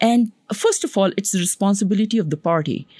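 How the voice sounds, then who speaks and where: A woman's somewhat breathy, medium-pitched voice at a moderate pace, with a dry, close sound, no echo and a very clean recording over a silent background. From Pakistan. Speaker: physician and public health professor. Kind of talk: interview.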